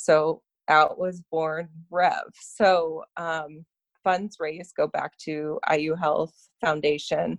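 Fairly low in pitch, a woman speaks very slowly in a monotone, flat intonation, with a dry, close sound and no echo. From Canada, Toronto. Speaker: fundraising event planner. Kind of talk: casual interview.

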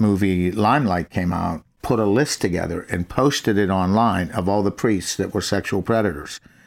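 In a normal speaking voice, a man talks at a moderate pace and fairly low pitch with ordinary pitch variation, on a very clean recording with a silent background. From Pittsburgh area, Pennsylvania. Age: 60s. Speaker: former criminal, ministry worker. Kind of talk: testimony.

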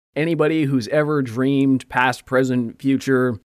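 At a fairly slow pace, a man with a plain, everyday voice speaks at medium pitch with ordinary pitch variation. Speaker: podcast co-host. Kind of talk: casual chat.

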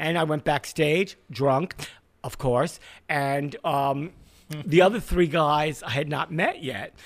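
Talking in a New York accent, a man speaks at a very slow pace with ordinary pitch variation. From Brooklyn, New York. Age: 60s. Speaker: music industry veteran. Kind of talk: casual interview storytelling.

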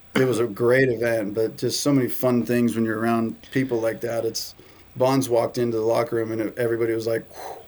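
In a Southern Californian accent, a man of medium pitch talks at a fairly quick pace in a monotone. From US West Coast, San Diego. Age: 30s. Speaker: baseball content creator. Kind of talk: casual chat.

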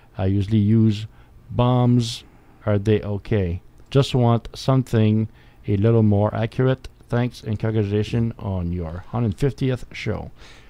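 A dark, mellow tone with a French accent at a fairly slow pace, over a quiet background. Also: man, fairly low pitch for a man. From France. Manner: animated, uneven pitch.

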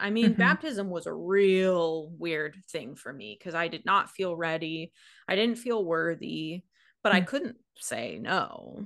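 A woman with an American accent speaks at a fairly slow pace, her medium-pitched voice showing vocal fry. Her intonation is lively, and the background is quiet. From US Pacific Northwest, Washington. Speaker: podcast co-host. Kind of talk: casual chat.

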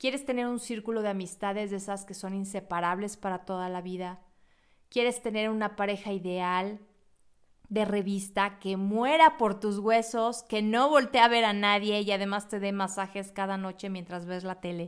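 A woman with a normal speaking voice talks at a moderate pace, medium in pitch with fairly even intonation, on a very clean recording with a silent background. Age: 40s. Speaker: psychologist and podcast host. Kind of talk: reflective monologue.

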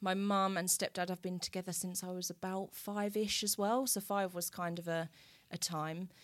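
In an Essex accent, a woman talks at a moderate pace with a medium pitch and monotone, flat intonation, on a very clean recording with a silent background. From Essex, England. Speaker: wellness entrepreneur selling essential oils. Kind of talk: casual interview. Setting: studio.

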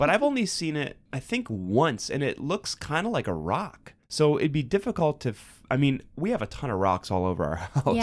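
A fairly high male voice in a Cleveland accent, at a moderate pace with very wide pitch swings, on a very clean recording with a silent background. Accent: Cleveland accent, Midwestern. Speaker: podcast co-host.

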